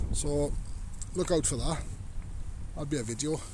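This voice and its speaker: A man speaks at a moderate pace with very wide pitch swings, his voice dark, mellow and somewhat breathy, the sound dry with no echo over light background noise. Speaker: hobbyist tractor owner. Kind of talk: casual vlog chat. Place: open country. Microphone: phone near.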